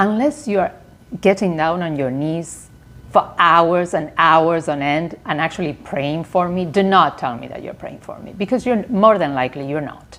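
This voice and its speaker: A woman with a non-native accent speaks at a fairly low pitch and a moderate pace, her intonation lively and her loudness swinging widely. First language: not English. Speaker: lifestyle vlogger. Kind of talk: casual vlog monologue.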